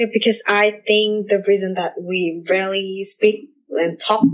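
A woman speaks with a Vietnamese accent. Her pitch is medium and her pace fairly slow. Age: young. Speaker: student podcast host. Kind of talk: casual interview.

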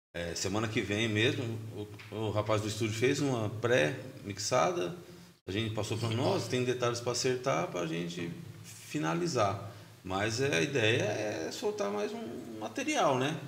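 In a room with audible echo, a man is speaking. His pitch is medium and his pace fairly slow. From São Paulo state, Brazil. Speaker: grindcore band musician. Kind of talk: casual interview chat. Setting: podcast studio.

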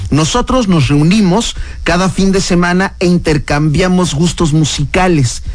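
The man here has a high-pitched voice, heard with audible room echo. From Mexico. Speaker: radio host. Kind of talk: radio interview. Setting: studio.

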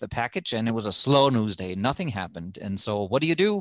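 A man with a German accent at a very fast pace, against a quiet background. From Germany. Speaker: former TV reporter, podcast co-host. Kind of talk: casual chat.

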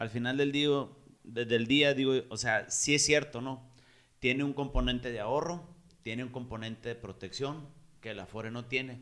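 A man's unremarkable speaking voice with big swings in loudness. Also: medium pitch for a man, fairly even intonation, moderate pace. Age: 30s. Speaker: podcast host. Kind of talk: casual chat.

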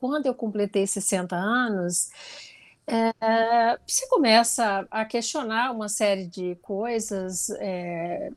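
With fairly high pitch and fairly even intonation, a woman talks at a very slow pace. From interior of Goiás, Brazil. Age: 60s. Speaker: ballet dancer and businesswoman. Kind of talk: interview.

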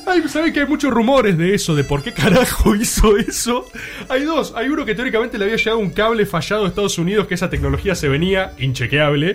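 Noticeable background noise sits behind a man talking at a very fast pace in a high voice with very wide pitch swings. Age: 20s. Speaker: radio podcast co-host. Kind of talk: casual panel chat.

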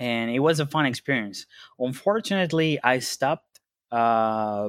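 Recorded with a dry, close sound and no echo, a man of medium pitch speaks fairly slowly in a Spanish accent. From Venezuela. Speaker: customer support head at a bitcoin company. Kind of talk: interview. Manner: halting, many fillers.

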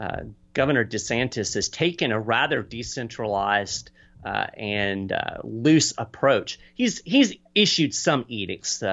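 Vocal fry runs through the fairly low voice of a man with an American accent who speaks with ordinary pitch variation. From Kentucky, US. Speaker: political advocacy communications director and author. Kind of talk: podcast interview.

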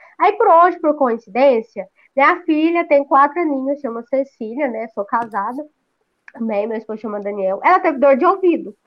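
A woman speaks at a moderate pace in a high pitch, her intonation lively. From Goiás, Brazil. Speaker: agronomist and amateur runner. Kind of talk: podcast interview.

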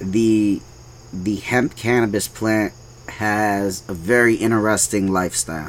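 A man with an ordinary speaking voice talks at a fairly slow pace, his fairly low pitch varying in an ordinary way and his loudness very even. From New York City (Brooklyn), Puerto Rican American. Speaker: hemp farm owner. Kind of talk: casual interview.

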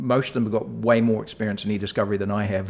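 Talking at a very fast pace, a man with a New Zealand accent keeps a fairly low pitch and fairly even intonation. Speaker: executive director at a professional services firm. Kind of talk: interview. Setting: office. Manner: halting, many fillers.

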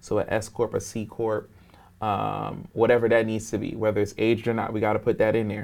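A man speaks fairly quickly with an American accent in a fairly low voice. His delivery is monotone and flat, with vocal fry. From New York and Philadelphia, US. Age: 30s. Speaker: entrepreneur. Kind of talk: interview.

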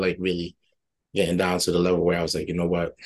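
A man with a very deep, low voice speaks in an American accent. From Liberia, then Worcester, Massachusetts. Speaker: college football player. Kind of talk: casual interview. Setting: video call. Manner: upbeat.

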